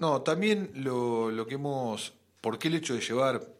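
Using a normal speaking voice, a man talks at a moderate speed. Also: very clean recording, silent background. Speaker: radio host, astrologer. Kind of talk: casual chat.

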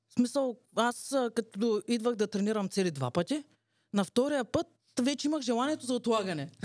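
In a plain, everyday voice, a woman talks at a moderate pace with fairly high pitch and lively intonation, the sound dry and close with no echo. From Bulgaria. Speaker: podcast co-host, entrepreneur. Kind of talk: casual chat.

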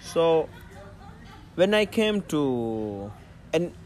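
Very wide pitch swings mark this man's speech. His voice is fairly high for a man. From Maldives. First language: Dhivehi. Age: 30s. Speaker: dive instructor. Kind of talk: casual interview chat. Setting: outdoors. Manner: halting.

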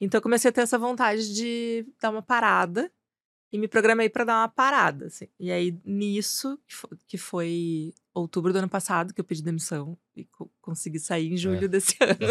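A woman speaks in an ordinary speaking voice at a medium pitch and moderate pace, with ordinary pitch variation, big swings in loudness, and a dry, close sound with no echo. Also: very clean recording, silent background. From Porto Alegre, Rio Grande do Sul, Brazil. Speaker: advertising executive. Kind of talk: casual chat.

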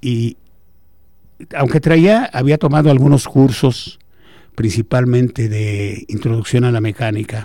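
A man of medium pitch speaks at a fairly slow pace, taking long, frequent pauses. His tone is dark and mellow, with ordinary pitch variation. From Mexico, Guanajuato. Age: 70s. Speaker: engineering professor. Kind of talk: radio interview. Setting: radio studio.

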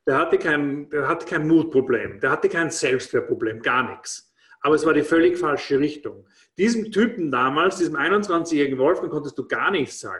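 Pitch shifts with ordinary variation as the talking holds a moderate pace. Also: man, fairly high pitch for a man. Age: 50s. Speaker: former restaurateur and network marketing speaker. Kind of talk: casual interview. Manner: hesitant, with frequent fillers and repetitions.

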